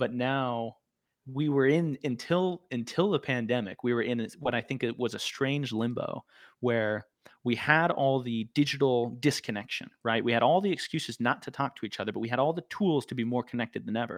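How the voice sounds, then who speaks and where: A man with an American accent and a normal speaking voice talks at a moderate pace, with medium pitch and ordinary pitch variation. The background is quiet, and the sound is dry and close with no echo. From Arizona, US. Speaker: guest, recovering addict. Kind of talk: casual chat. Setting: video call.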